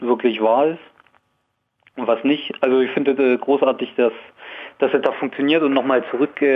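Male speaker at a medium pitch with fairly even intonation. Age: 20s. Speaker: radio caller. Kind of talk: phone-in call. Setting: phone call.

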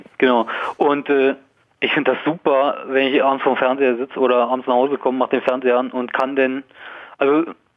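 This man talks at a fairly quick clip with fairly even intonation and medium pitch, in a plain, everyday voice. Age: 20s. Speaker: radio caller. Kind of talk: phone-in call. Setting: phone call.

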